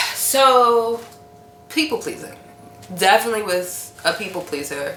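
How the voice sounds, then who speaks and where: A woman talks at a moderate pace with audible room echo. Music plays in the background. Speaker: wellness vlogger. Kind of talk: casual monologue vlog. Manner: loud; animated.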